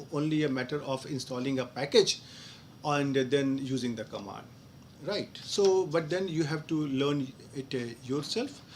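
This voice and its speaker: Spoken at a fairly quick pace with ordinary pitch variation, the voice carries audible room echo. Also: man. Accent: Indian. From India. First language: Hindi. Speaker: professor. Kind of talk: live online Q&A lecture. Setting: online live session. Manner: halting, with many fillers.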